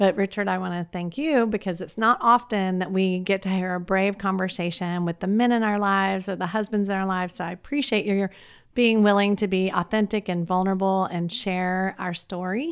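In an American accent, an ordinary speaking voice moves at a fairly quick pace with hardly any pauses. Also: woman, medium pitch for a woman, fairly even intonation, very clean recording, silent background. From Texas. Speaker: podcast host and life coach. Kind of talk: casual interview chat.

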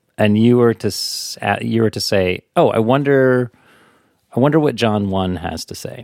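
A man speaks in an unremarkable speaking voice at medium pitch and a moderate pace, with ordinary pitch variation. The sound is dry and close, without echo. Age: 40s. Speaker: podcast co-host. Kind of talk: casual chat.

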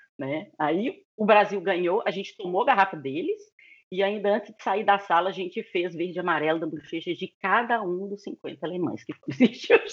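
A woman with a plain, everyday voice talks at a moderate pace and a medium pitch, with ordinary pitch variation and big swings in loudness. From Brazil, Belo Horizonte, Minas Gerais. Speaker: relocation business owner. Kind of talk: interview.

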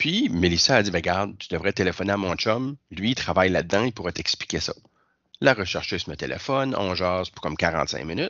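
The speaker keeps a moderate pace and uses lively intonation. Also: man. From northern New Brunswick. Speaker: school district cultural worker, documentary participant. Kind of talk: interview.

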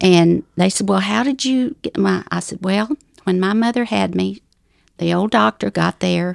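A woman with a Southern US accent at a fairly slow pace, dry, close sound with no echo on a very clean recording with a silent background. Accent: Southern US drawl. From US South, Ozark Mountains of North Arkansas. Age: 70s. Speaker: widow sharing life story. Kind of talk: testimony.

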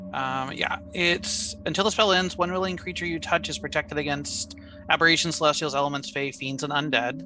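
A woman's very deep, low voice with very wide pitch swings at a fairly quick pace, music in the background. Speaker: tabletop RPG player. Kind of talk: casual game chat.

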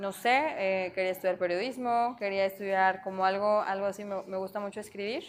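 Over a quiet background, a woman talks fairly quickly at a medium pitch with fairly even intonation and hardly any pauses. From Mexico. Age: 20s. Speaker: chef and restaurant owner. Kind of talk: interview.

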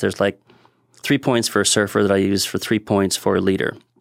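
A man speaks with an American accent. The recording is dry and close, with no echo. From Southern California. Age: 50s.

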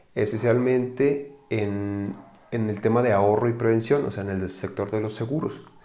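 At a fairly slow pace, a man with a medium pitch and a dark, mellow tone speaks with ordinary pitch variation, and room echo can be heard. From Mexico, Guadalajara, Jalisco. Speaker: financial advisor, podcast host. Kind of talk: casual podcast monologue. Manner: hesitant with fillers and repetitions.

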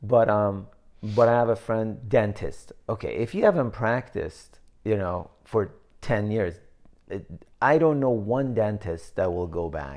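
Set against a quiet background, a normal speaking voice moves at a fairly slow pace with lively intonation. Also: man, fairly low pitch for a man. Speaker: podcast co-host. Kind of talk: casual chat. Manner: chatty, joking.

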